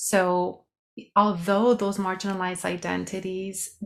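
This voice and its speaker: A woman with a slight Mexican accent speaks at a very slow pace. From Mexico. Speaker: sociologist and health coach. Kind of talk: podcast interview.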